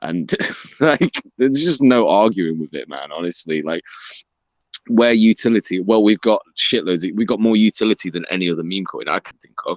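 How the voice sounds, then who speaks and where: With an English accent, a man speaks at a moderate pace and fairly low pitch, using lively intonation and big swings in loudness, in a dry, close sound with no echo. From England. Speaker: crypto Twitter Spaces host. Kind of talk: casual chat. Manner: animated.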